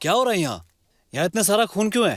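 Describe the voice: Doing a put-on character voice, a man talks at a fast pace with a high pitch, a fairly bright tone and big pitch swings on a very clean recording with a silent background.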